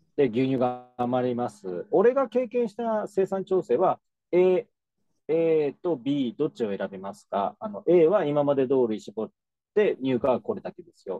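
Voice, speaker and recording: A man speaks with very wide pitch swings and big swings in loudness. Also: fairly high pitch for a man, fairly slow pace. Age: 40s. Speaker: dairy farmer. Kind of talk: casual chat.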